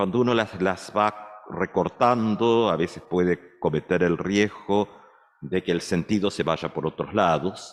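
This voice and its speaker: At a fairly slow pace, a man speaks in an unremarkable speaking voice. His fairly low pitch shows ordinary variation. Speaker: pastor. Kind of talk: sermon.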